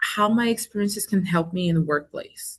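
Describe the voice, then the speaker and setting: Her voice is somewhat breathy, and this woman speaks at a medium pitch with ordinary pitch variation. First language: not English. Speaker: engineering student. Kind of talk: panel discussion. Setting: webinar video call.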